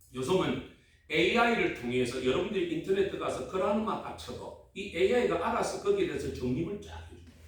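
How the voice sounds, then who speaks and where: A man with a strong Gyeongsang accent talks at a very fast pace with big swings in loudness. Noticeable background noise and audible room echo fill the recording. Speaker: pastor. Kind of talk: sermon. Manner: animated, call-and-response with audience.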